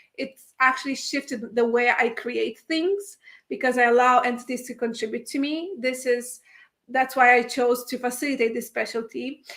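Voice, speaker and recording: Here is a woman with a high pitch. She speaks in a non-native accent. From Italy. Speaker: spiritual workshop facilitator. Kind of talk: livestream talk. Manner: halting, many fillers.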